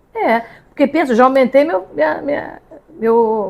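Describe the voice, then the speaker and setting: Moving at a moderate pace, a woman's speech has lively intonation. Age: 60s. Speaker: podcast host. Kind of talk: casual chat. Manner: animated.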